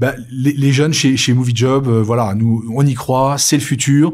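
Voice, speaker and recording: This man's medium-pitched voice keeps fairly even intonation and a moderate pace. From Burgundy, France. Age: 50s. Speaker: recruitment company representative. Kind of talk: interview on a talk show. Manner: hesitant with fillers and repetitions.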